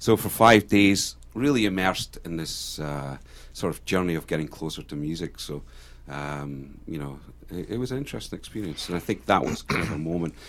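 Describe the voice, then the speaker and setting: The man's intonation is lively. His pitch sits very deep and low. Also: fairly quick pace. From Scotland, Jedburgh (Scottish Borders). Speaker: singer-songwriter. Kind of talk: radio interview. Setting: studio.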